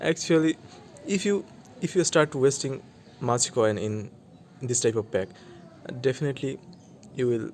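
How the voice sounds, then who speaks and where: A man speaks in a Bengali accent at medium pitch and a moderate pace. His intonation is lively, broken by long, frequent pauses. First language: Bangla. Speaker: mobile gaming YouTuber. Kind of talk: gameplay commentary. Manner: halting, with frequent restarts.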